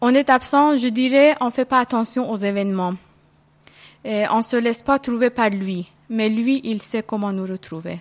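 A woman talks at a fairly slow pace and a fairly high pitch, with ordinary pitch variation. The sound is dry and close, with no echo. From Iran. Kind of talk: interview. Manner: hesitant.

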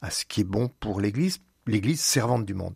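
A man speaks in a somewhat breathy, fairly low voice. The sound is dry and close with no echo, in a very clean recording with a silent background. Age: 70s. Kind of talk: radio interview. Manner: halting, with many repetitions and hesitations.

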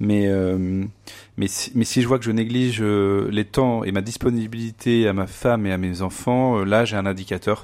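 A man speaks at a fairly slow pace in a fairly low pitch, his intonation fairly even, on a very clean recording with a silent background. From France, Vendée. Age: 30s. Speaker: university communications director. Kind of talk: interview testimony. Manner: halting, many hesitations.

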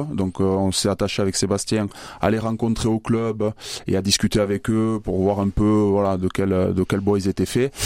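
A man at a moderate pace, fairly low in pitch, with very even loudness and a monotone, flat intonation. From Basque Country, Bayonne. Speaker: rugby manager, former player. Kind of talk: radio interview. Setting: studio.

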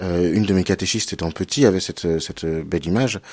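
A man speaks at a fairly quick pace in a very deep, low voice with ordinary pitch variation. The recording is very clean, with a silent background. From western France, Cholet. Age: 30s. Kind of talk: radio interview on theology.

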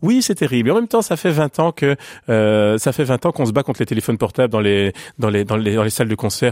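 Speaking very fast with lively intonation and very even loudness, a man is heard on a very clean recording with a silent background and a dry, close sound with no echo. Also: medium pitch for a man. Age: 40s. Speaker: pianist and music educator. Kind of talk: radio interview. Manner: halting, frequent repetitions.

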